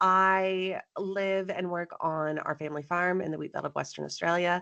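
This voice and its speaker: In a slight Texan accent, a woman speaks at a moderate pace with a bright, sharp, animated tone. Her pitch is fairly low, and the background is quiet. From Texas. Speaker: farmer and business coach. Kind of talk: interview.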